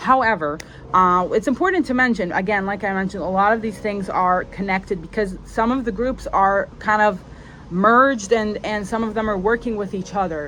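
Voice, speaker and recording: This woman has an ordinary speaking voice with a medium pitch. She talks at a moderate pace with ordinary pitch variation. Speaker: spiritual content creator. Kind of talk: solo video monologue. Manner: casual, many fillers.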